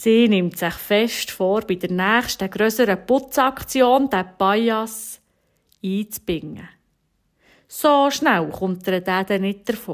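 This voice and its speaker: A woman in a Bernese accent, very slow, medium in pitch with ordinary pitch variation, in a very clean recording with a silent background. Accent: Bernese Swiss German. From Switzerland, Bernese Oberland (Steffisburg). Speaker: homemaker and mother telling an encouraging story. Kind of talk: storytelling radio devotional.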